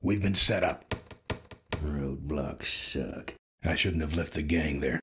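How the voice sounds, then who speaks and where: A man's put-on character voice, raspy and very deep, at a fairly slow pace with fairly even intonation. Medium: video game. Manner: terse, gruff.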